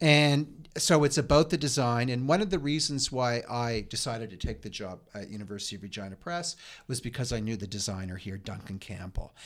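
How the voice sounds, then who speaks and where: Lively intonation in a Canadian Maritime accent, fairly quick with hardly any pauses, over a very clean recording and silent background. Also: man, medium pitch for a man. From Nova Scotia, Lunenburg County. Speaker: university press publisher. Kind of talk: interview. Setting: office.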